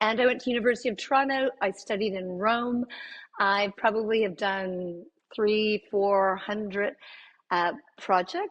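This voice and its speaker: An unremarkable speaking voice from a woman with a Canadian accent, fairly high in pitch, fairly slow, with ordinary pitch variation. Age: 60s. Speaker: interior designer and architect. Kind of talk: interview.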